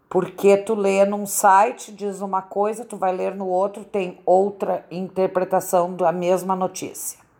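This woman has a dark, mellow tone and a medium pitch, speaking with monotone, flat intonation. Her pace is fairly slow, with hardly any pauses. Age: 60s. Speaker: retiree. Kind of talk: interview answers.

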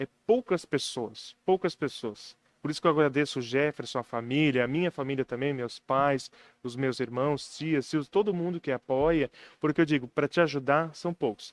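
A man with an unremarkable speaking voice, fairly high-pitched, at a moderate pace with ordinary pitch variation, in a dry, close sound with no echo over a quiet background. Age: 20s. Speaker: local news website founder. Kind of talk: casual interview.

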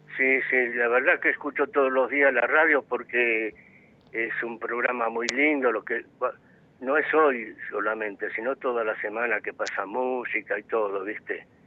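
A man's medium-pitched, normal speaking voice at a fairly slow pace, with fairly even intonation and hardly any pauses. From Argentina, Buenos Aires area. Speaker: radio caller. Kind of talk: call-in opinion. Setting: phone call.

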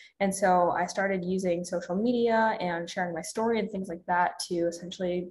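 Her voice somewhat breathy, the woman moves along at a moderate speed, her intonation fairly even. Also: hardly any pauses. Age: 20s. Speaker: fitness coach and social media creator. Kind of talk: casual interview.

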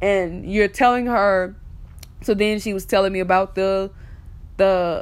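A woman with a South Carolina accent speaks at medium pitch and a moderate pace. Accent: US Southern, South Carolina. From South Carolina (Ridgeway). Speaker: podcast host, music promoter. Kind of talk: casual solo talk.

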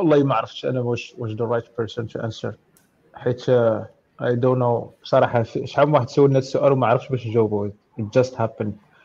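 A man's plain, everyday voice at medium pitch, with fairly even intonation and a fairly quick pace. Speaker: software engineer. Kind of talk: casual tech Q&A.

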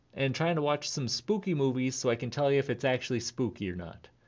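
Speaking rather quickly, a man has an unremarkable speaking voice. His intonation is lively, his pitch on the high side. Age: 30s. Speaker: podcast host, clown entertainer. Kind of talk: casual monologue. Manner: laughs often, relaxed.

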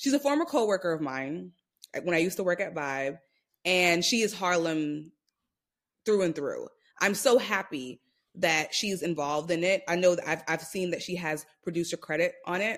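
With a New York accent, a woman speaks at a moderate pace in a fairly low pitch with lively intonation, on a very clean recording with a silent background. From New York City (Brooklyn), Jamaican roots. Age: 30s. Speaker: creative marketing executive. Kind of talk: casual chat.

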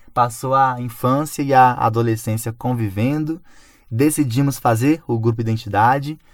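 A man at medium pitch and a moderate pace, in a very clean recording with a silent background. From Brazil, Belo Horizonte. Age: 20s. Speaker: artist and cultural producer. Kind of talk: radio interview. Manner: halting, with repeated words.

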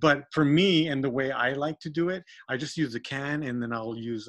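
Against a quiet background, a man speaks at a moderate pace in a plain, everyday voice. His pitch is medium with ordinary pitch variation. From Texas. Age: 50s. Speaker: RC hobbyist and custom painter. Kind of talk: casual chat. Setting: remote call.

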